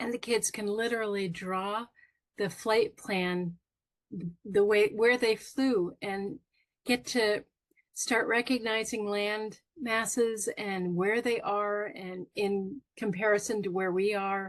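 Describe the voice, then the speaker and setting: Her pitch is fairly high, her intonation fairly even. This woman talks at a very slow pace. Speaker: stroke survivor and coach; children's author. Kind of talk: interview. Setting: video podcast. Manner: halting, searches for words; sometimes slurred speech from aphasia.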